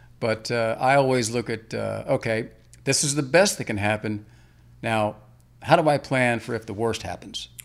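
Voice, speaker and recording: Speaking with an American accent in an unremarkable speaking voice, a man of medium pitch keeps a moderate pace and ordinary pitch variation. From Northern Virginia, US. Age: 60s. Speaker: mortgage lender. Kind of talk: interview. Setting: studio.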